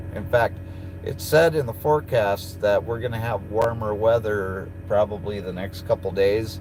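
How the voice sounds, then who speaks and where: Pitch shifts in a normal way at a moderate tempo. Background music can be heard. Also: man, fairly low pitch for a man. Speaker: truck driver and streamer. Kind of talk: casual live stream chat. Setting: in a truck.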